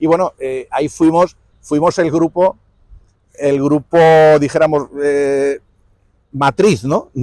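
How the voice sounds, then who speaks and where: In a dry, close sound with no echo, a man with a fairly high pitch speaks at a very slow pace, with fairly even intonation and long, frequent pauses. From Spain, Villena (Alicante). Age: 60s. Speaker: musician. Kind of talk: interview. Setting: outdoors. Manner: halting.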